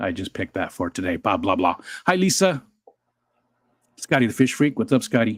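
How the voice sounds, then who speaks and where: Pitch swinging very widely, a man speaks at a fairly quick pace with long, frequent pauses. The recording is very clean with a silent background and a dry, close sound with no echo. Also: medium pitch for a man. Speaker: livestream co-host. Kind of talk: casual livestream chat. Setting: live stream. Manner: talking quietly.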